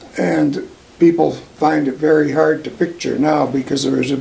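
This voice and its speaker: In a western Canadian accent, a man speaks at a fairly slow pace and fairly high pitch over noticeable background noise. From Alberta, Canada. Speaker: oral history interviewee. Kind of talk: oral history interview.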